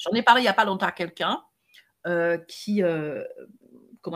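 Somewhat breathy speech comes at a moderate pace with ordinary pitch variation. The recording is very clean, with a silent background. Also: woman. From French Caribbean islands. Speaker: podcast co-host, coach. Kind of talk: casual chat.

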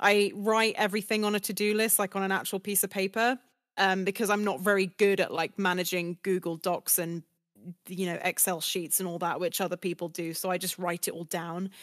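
A woman with a British accent speaks at a fairly quick pace in a monotone, flat intonation, with a dry, close sound and no echo. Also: medium pitch for a woman, very clean recording, silent background. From UK. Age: 20s. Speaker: voice actress. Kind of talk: interview. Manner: fast, many fillers.

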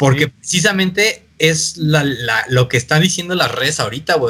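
A man speaks with a plain, everyday voice at a fairly high pitch. His pace is moderate, with ordinary pitch variation. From Mexico. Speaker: electronic music producer. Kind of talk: casual chat.

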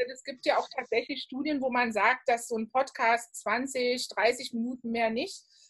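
At a fairly slow pace with hardly any pauses, a woman speaks in a high pitch with fairly even intonation. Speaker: podcast host. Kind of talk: casual interview. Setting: home office, remote recording.

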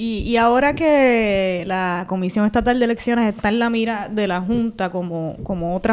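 On a very clean recording with a silent background, a woman speaks. Her pitch is fairly high, with ordinary variation. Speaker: podcast co-host. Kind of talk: casual interview.

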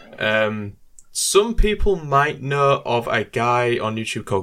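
Bright and sharp in tone, a man with an English accent speaks at medium pitch with lively intonation. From UK. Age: 20s. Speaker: YouTuber. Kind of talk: casual chat.

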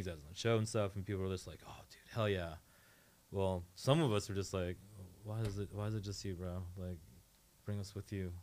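A man with an American accent speaks at a fairly quick pace in a fairly low, plain, everyday voice. His loudness swings widely, and the recording is very clean with a silent background. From Northern Virginia. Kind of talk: casual chat. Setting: radio studio.

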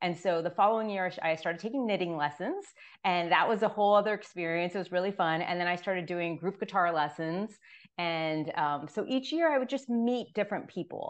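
Here a woman speaks in an American accent with a plain, everyday voice. Her medium pitch shows ordinary variation at a fairly quick pace. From Florida, Miami. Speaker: author. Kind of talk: interview. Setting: video call.

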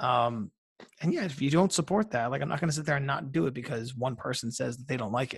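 Speaking very fast with lively intonation, a man with an American accent sounds somewhat breathy against a quiet background. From New York suburbs, US. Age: 30s. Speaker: journalist and author. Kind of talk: casual interview chat.

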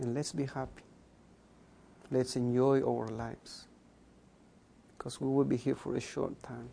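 A man's dark, mellow tone at medium pitch, monotone and flat, at a moderate pace with long, frequent pauses. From Guatemala, Mayan community. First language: K'iche' (Mayan language). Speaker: accountant and social innovator. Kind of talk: interview.

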